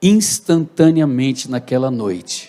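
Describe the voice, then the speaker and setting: A man speaks in an ordinary speaking voice. He goes at a fairly slow pace with ordinary pitch variation. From Brazil, Santo André (São Paulo). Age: 60s. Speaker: pastor. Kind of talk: testimony. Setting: church.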